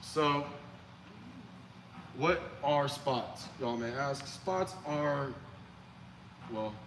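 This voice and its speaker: A man talks with ordinary pitch variation, leaving long, frequent pauses. The room echo is audible. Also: fairly high pitch for a man. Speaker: church lighting technician. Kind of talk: training session. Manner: fast; casual.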